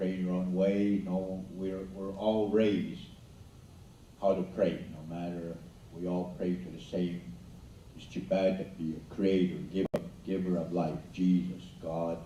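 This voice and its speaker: With an Albertan accent, a man speaks in a very deep, low, monotone, flat voice at a very slow pace, leaving long, frequent pauses, while his loudness swings widely amid audible room echo and noticeable background noise. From Blackfoot Confederacy, southern Alberta. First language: Blackfoot. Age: old. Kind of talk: school assembly talk. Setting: school assembly with audience. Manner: halting.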